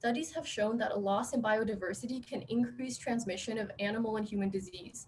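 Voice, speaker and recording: With an American accent and a fairly high pitch, a woman talks at a fairly quick pace with ordinary pitch variation, over noticeable background noise. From Texas. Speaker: PhD student. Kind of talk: speech. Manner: fast; reading verbatim.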